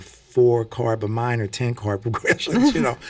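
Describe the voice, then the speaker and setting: A man with an American accent uses a plain, everyday voice at medium pitch, with fairly even intonation and a moderate pace, on a very clean recording with a silent background. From US Midwest (St. Louis). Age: 60s. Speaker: singer and preacher. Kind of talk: radio interview. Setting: radio studio.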